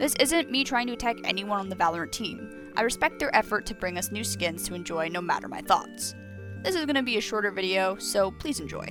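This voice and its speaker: A woman speaks at a very fast pace. Music plays in the background. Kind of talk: opinion commentary video. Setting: low-quality microphone with mouse clicks. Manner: casual, talkative.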